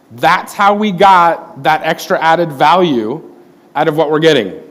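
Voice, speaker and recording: Amid audible room echo, a man with an American accent speaks slowly-ish at a fairly slow pace, his fairly high pitch showing ordinary variation. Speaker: corporate IT presenter. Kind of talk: conference talk.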